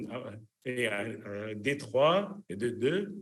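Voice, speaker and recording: A man speaks at a very slow pace with a medium pitch and lively intonation. Audible room echo surrounds his voice. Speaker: cardiologist, electrophysiologist. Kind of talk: lecture. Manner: halting, many fillers.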